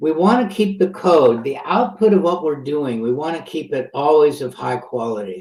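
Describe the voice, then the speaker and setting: With lively intonation and a fairly high pitch, a man speaks at a moderate pace in a room with audible echo. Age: 70s. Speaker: software pioneer, conference speaker. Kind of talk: conference talk. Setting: virtual conference. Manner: halting.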